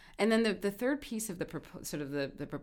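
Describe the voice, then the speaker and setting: A woman with an American accent, vocal fry and lively intonation, on a very clean recording with a silent background. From Jamaica and New York City. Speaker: law professor. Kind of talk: interview.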